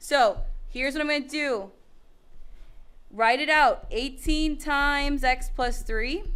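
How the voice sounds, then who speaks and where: A woman speaks with a high pitch and ordinary pitch variation. Audible room echo surrounds her voice. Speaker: math teacher. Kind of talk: classroom lecture. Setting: classroom with students.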